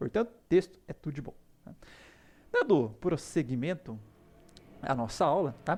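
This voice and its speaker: This man's fairly high voice has lively intonation and big swings in loudness, broken up by long, frequent pauses. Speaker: university lecturer. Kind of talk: lecture. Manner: fast.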